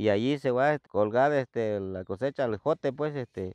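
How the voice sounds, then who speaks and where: A man at a moderate pace with ordinary pitch variation, the sound dry with no echo. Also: quiet background. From Sierra Sur, Oaxaca, Mexico. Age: 60s. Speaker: farmer. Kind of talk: interview answer. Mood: calm, friendly.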